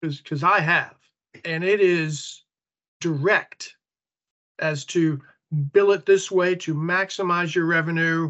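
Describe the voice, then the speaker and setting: A man speaks at a very slow pace in a high voice, his intonation fairly even and broken by long, frequent pauses. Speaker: retired federal program integrity leader, consultant.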